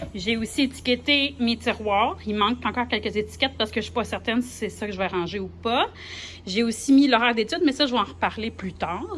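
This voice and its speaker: A woman with a Quebec accent at a fairly quick pace. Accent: Québécois French. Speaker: primary school teacher. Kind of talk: vlog, casual walkthrough. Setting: empty classroom. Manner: casual, hesitant with fillers.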